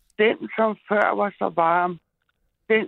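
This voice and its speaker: Very slow speech from a woman, medium in pitch, the pitch varying in an ordinary way. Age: 60s. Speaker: caller. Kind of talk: reading aloud. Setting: phone call.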